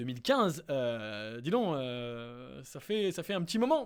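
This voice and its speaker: In a very clean recording against a silent background, a man speaks. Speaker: startup investment youtuber. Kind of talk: casual screen-share analysis. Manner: hesitant, many fillers.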